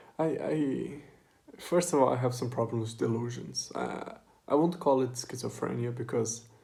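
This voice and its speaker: With a non-native accent, a man of medium pitch talks at a moderate pace, with big swings in loudness. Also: ordinary pitch variation. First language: not English. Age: 20s. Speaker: vlogger. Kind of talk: personal monologue. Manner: halting.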